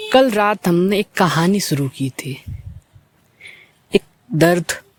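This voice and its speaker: A man with a high pitch and ordinary pitch variation speaks in a dry, close sound with no echo. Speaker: talk show host. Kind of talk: late-night soulful talk show. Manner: slow, reflective.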